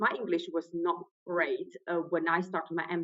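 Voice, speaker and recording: A woman talks with a non-native accent at a moderate pace. Her intonation stays fairly even. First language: not English. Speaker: trainee solicitor, exam candidate. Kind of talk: interview testimonial. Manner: halting, with repetitions.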